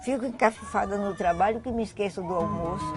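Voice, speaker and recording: Noticeable background noise sits behind a woman who speaks at medium pitch and a moderate pace with ordinary pitch variation. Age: 90s. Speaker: potter. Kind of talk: interview.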